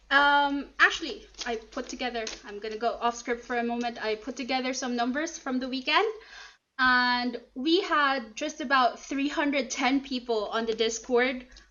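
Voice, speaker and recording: With a non-native accent, a woman speaks at a moderate pace in a high pitch, her pitch varying in an ordinary way. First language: not English. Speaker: convention chairperson. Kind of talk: closing ceremony speech.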